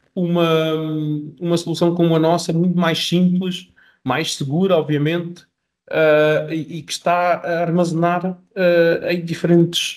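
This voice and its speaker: A man with a European Portuguese accent talks at a fairly slow pace in a high voice. His intonation stays fairly even. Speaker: software company representative. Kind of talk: webinar sales presentation. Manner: halting, many repetitions and fillers.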